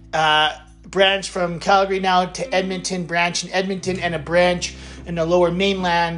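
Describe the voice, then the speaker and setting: Over music in the background, a man speaks at a moderate pace in a high pitch with flat, monotone intonation. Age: 30s. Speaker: podcast host. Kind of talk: casual solo monologue.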